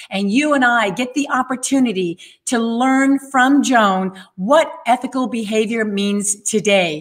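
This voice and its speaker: A woman's lively intonation at a fairly slow pace over a quiet background. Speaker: show host. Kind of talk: show introduction. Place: home room. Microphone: studio mic.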